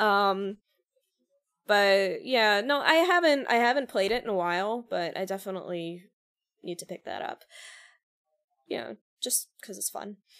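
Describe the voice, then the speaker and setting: A woman with an American accent and medium pitch, at a fairly slow pace with long, frequent pauses, lively intonation and big swings in loudness, in a very clean recording with a silent background. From Long Island, New York. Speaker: singer-songwriter. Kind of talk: casual chat.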